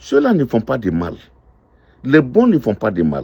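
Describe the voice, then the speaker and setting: A man talks at a very slow pace. Vocal fry runs through his voice. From Ivory Coast. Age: 60s. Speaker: restaurant owner. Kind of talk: testimony.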